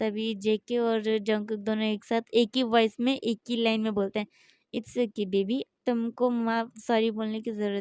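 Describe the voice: A text read out plainly, with little sound in the background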